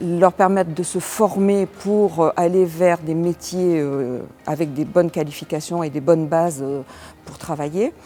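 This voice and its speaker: Over noticeable background noise, a woman speaks fairly slowly at a fairly low pitch with ordinary pitch variation. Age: 60s. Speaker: business owner and election candidate. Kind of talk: interview. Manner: hesitant, many fillers.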